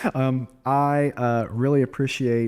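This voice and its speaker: A man's dark, mellow tone with a Southern US accent, on a very clean recording with a silent background. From US South. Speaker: real estate agent and podcast host. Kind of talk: casual chat; podcast outro.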